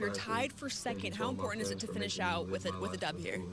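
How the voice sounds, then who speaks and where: A woman speaks at a fairly quick pace. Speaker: multimedia journalist. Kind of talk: field reporter interview question.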